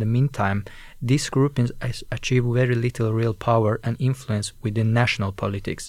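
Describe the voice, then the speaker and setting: The man's medium-pitched voice stays monotone and flat, captured in a very clean recording with a silent background. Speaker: student radio co-host. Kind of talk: scripted narration.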